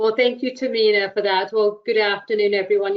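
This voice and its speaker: With an English accent, this woman speaks at a medium pitch. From England. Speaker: workers' comp attorney. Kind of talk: webinar introduction.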